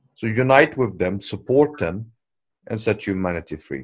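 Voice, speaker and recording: Lively intonation runs through this man's speech. He keeps a moderate pace. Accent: non-native. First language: not English. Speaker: commentator on world affairs. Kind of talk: video call commentary; casual chat. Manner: unscripted, hesitant with fillers.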